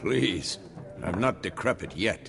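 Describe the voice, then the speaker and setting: Against clear background noise, a man performs a raspy, put-on character voice. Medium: video game. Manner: dry, terse.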